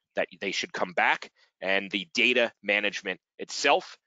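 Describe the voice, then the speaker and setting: This is a man speaking. He goes at a moderate pace. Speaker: webinar host, fundraising software partnerships director. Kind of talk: webinar presentation. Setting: online webinar. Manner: loud.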